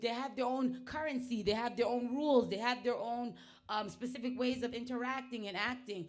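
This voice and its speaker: Loud and animated, a woman with a high pitch and an American accent talks at a fairly quick pace, with audible room echo. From US (Nigerian family). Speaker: performance artist / internet personality. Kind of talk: casual chat.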